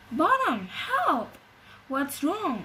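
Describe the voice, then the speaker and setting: A woman puts on a character voice pitched high. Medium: read story. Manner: bossy, self-important.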